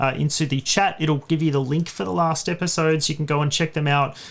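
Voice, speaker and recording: A man talks with an Australian accent. His pitch is fairly high, with ordinary pitch variation. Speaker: cloud tech tutorial co-host. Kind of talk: livestream tutorial wrap-up. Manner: casual, many fillers.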